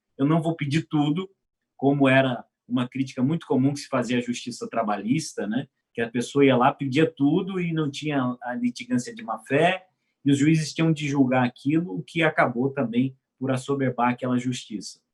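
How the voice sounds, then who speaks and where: A man speaks at a moderate pace in a normal speaking voice. His pitch is fairly high and varies in an ordinary way. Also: dry, close sound with no echo. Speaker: law professor. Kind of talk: panel discussion.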